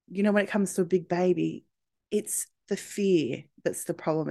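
Against a quiet background, a woman speaks at a moderate pace in an Australian accent. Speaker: podcast host, birth coach. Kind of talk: casual solo monologue.

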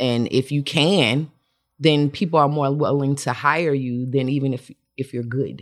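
In an American accent, a woman with a very deep, low pitch speaks at a fairly slow pace with fairly even intonation on a very clean recording with a silent background. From Atlanta, US South. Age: 40s. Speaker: makeup artist. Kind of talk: casual chat.

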